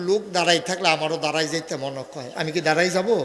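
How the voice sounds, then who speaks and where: A man speaks over noticeable background noise. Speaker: Islamic preacher (waz speaker). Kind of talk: humorous religious sermon at a mahfil, addressing the crowd. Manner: casual, jokey, colloquial.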